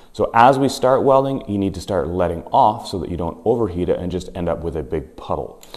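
Over a quiet background, a man speaks fairly quickly with lively intonation and vocal fry. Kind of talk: tutorial. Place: garage.

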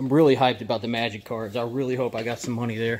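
With a slightly mellow tone, a man speaks fast and keeps his intonation fairly even. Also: medium pitch for a man.

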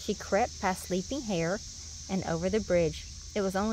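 A natural voice reading aloud

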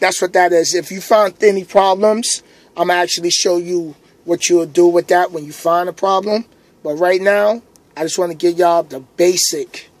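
With a high pitch and fairly even intonation, a man talks at a moderate pace in a dry sound with no echo. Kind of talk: tutorial. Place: car. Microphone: phone near.

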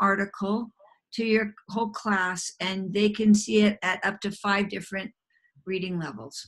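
This woman's voice is somewhat breathy. She speaks at a moderate pace. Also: quiet background. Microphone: video call.

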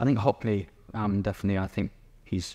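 Delivered in a southern English accent, the speech runs at a very fast pace with monotone, flat intonation. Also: man. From England, East Sussex; England. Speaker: painter. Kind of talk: interview; interview answer. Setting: gallery exhibition. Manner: hesitant, many fillers. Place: hall.

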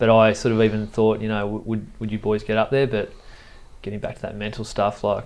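In an Australian accent, a man with a fairly low pitch talks at a fairly quick pace with monotone, flat intonation. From Tweed, northern New South Wales, Australia; New South Wales, Australia. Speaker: sports high performance manager. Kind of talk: casual interview. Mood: calm, reflective. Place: studio. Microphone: lapel.

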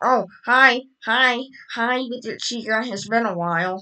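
Using a put-on character voice, a woman speaks at a fairly high pitch and a fairly slow pace.

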